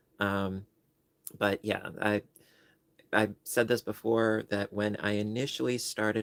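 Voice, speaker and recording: In a dry, close sound with no echo, a man speaks with an American accent. His pitch is fairly low and his pace fairly slow. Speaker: crochet youtuber and librarian. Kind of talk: casual livestream chat. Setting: livestream. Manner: casual, with many fillers.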